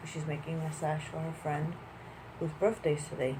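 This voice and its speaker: A woman's very deep, low voice holds a flat monotone. Audible room echo and noticeable background noise fill the recording. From Puerto Rico. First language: Spanish. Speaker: vlogger. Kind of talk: casual vlog monologue.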